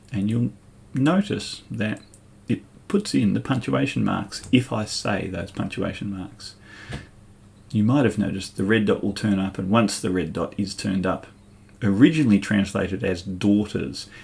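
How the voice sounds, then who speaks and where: At a moderate pace, a man with an Australian accent speaks in a fairly low pitch with ordinary pitch variation and vocal fry. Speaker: school ICT teacher. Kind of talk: tutorial. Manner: clear dictation pace.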